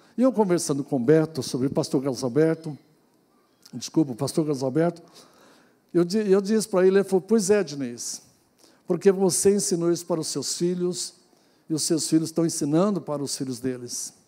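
A man with a dark, mellow tone talks at a fairly quick pace, using ordinary pitch variation. Long, frequent pauses break up his speech. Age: 60s. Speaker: pastor. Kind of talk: sermon. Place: church. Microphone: handheld.

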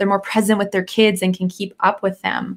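A woman speaks at a fairly quick pace and medium pitch, with little pitch movement.

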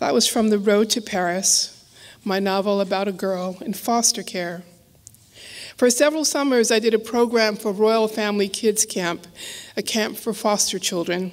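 Ordinary pitch variation and a moderate pace from a woman. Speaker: author giving a lecture. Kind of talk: lecture with a reading. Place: hall. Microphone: podium.

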